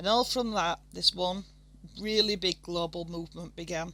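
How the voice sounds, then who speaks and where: In a Yorkshire accent, a woman speaks with a bright, sharp tone. Her intonation is fairly even and her pace fairly slow. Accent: broad Yorkshire. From Yorkshire, northern England. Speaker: art tutorial creator. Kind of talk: tutorial. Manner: casual, somewhat halting.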